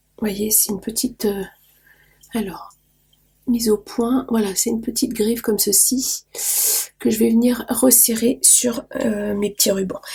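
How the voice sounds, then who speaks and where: In a fairly high pitch with a dark, mellow tone, a woman speaks somewhat breathily at a fairly slow pace, with fairly even intonation and long, frequent pauses. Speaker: craft youtuber. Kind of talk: tutorial. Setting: home studio. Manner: hesitant, many fillers.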